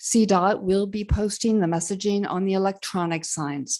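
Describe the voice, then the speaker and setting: A woman speaks at a fairly slow pace in a dark, mellow tone. The background is quiet. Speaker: community organization co-founder. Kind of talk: public presentation. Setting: city council meeting. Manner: loud.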